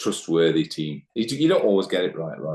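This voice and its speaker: A man with an East Midlands accent at a moderate pace, against a quiet background. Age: 60s. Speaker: managing director, business owner. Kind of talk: podcast interview. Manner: hesitant, repeats words.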